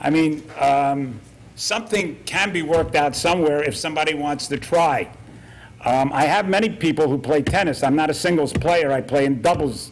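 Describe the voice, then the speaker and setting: A man talks at a moderate pace with a fairly high pitch and ordinary pitch variation. His loudness stays very even, and the room echo is audible. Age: 70s. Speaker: military veteran speaking at public comment. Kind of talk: public comment at town council meeting. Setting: council meeting room. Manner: halting.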